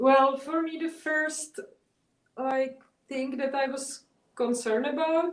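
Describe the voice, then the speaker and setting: A woman with a non-native accent speaks at a fairly slow pace in a high pitch, keeping her intonation fairly even. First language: not English. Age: 30s. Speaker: artist. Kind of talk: interview. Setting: video call. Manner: halting.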